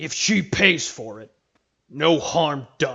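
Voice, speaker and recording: In a growling, put-on character voice, a man speaks at a fairly high pitch and a very slow pace. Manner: menacing, gruff.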